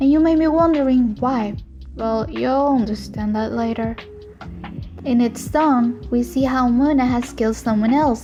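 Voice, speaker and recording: A woman with a non-native accent and a high pitch, at a fairly slow pace with fairly even intonation, music in the background. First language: Spanish. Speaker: artist and animator. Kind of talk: casual explainer monologue.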